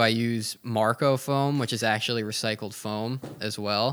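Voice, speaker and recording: A man with an American accent has an ordinary speaking voice at medium pitch, with ordinary pitch variation and a fairly slow pace. The recording is very clean, with a silent background. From Washington, D.C. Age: 20s. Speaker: surfboard shaper. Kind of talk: casual interview. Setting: his workshop studio.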